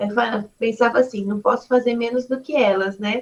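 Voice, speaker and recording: A woman with a high voice talks at a moderate pace, her pitch varying in an ordinary way. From São Paulo, Brazil (eastern periphery). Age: 40s. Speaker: city councillor and politician. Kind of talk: interview.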